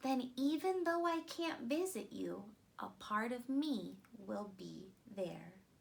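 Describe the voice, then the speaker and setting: A woman's put-on character voice, gentle and warm in tone, fairly high in pitch, at a fairly slow pace. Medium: read story. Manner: gentle, warm.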